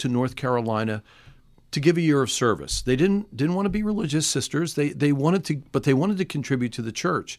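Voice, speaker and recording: On a very clean recording with a silent background, a man speaks at a fairly high pitch with lively intonation. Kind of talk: radio interview. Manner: halting, many fillers and restarts.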